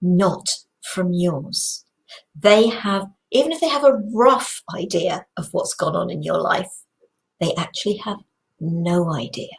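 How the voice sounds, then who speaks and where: A woman's somewhat breathy, medium-pitched voice at a very slow pace, with lively intonation. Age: 60s. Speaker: inspirational video host. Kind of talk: reflective talk to camera. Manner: casual, conversational.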